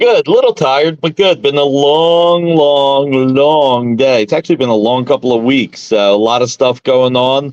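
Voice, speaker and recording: The speaker has a Philadelphia accent and goes at a moderate pace with hardly any pauses. Loudness stays very even, and the sound is dry and close with no echo. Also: man, fairly high pitch for a man, ordinary pitch variation. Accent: Philadelphia American. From South Philadelphia, US. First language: Italian. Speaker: comics publisher. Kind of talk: casual interview. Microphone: phone mic.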